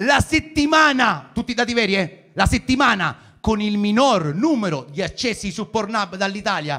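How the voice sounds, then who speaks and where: In a raised, projected voice, a man speaks at a moderate pace and high pitch, his tone bright and sharp, his pitch swinging very widely and hardly any pauses breaking the flow. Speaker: stand-up comedian. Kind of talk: stand-up comedy set, raunchy satire. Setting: stage with live audience. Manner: chatty, crowd-baiting, with pauses for laughs.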